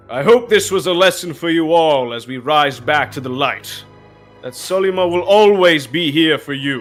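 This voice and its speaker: Over background music, a man does a loud, booming put-on character voice at a fairly high pitch, with lively intonation and a moderate pace. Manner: commanding, projecting to a crowd.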